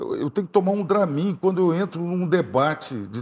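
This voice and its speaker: A man speaks with a high-pitched voice. His pitch varies in an ordinary way. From southern Brazil. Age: 60s. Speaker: gubernatorial candidate, politician; candidate. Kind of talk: TV interview, campaign pitch. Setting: TV studio. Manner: animated, direct address to viewers. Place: studio.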